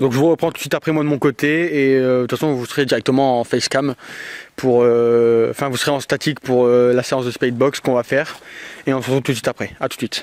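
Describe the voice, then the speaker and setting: In a dry, close sound with no echo, a man at a medium pitch talks very fast in a monotone, flat intonation. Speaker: paranormal investigator YouTuber. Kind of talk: on-location ghost hunt commentary. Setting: outdoors in a cemetery at night.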